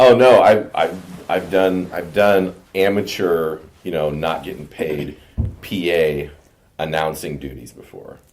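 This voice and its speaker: A man's booming, very deep, low voice moves at a fairly slow pace with ordinary pitch variation and big swings in loudness. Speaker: podcast host. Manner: hesitant, stumbling over words.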